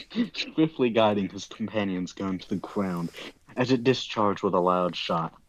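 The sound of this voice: Pitch variation here is ordinary. It belongs to an unforced reading voice.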